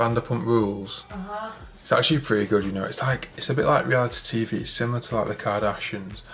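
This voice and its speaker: Light background noise sits behind a man with a northern English accent. He speaks at a very fast pace with ordinary pitch variation. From northern England. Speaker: fitness and fashion vlogger; fashion vlogger. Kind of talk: casual vlog. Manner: casual, chatty. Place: home room. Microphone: phone near.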